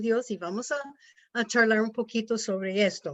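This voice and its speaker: A woman's fairly high voice with a non-native accent, lively intonation and a moderate pace. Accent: non-native Spanish, rusty. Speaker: missionary, pastor's wife. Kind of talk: devotional talk. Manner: halting.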